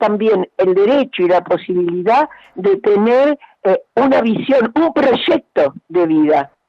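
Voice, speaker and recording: A woman at a very slow pace with very wide pitch swings. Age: 80s+. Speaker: education researcher. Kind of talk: radio interview.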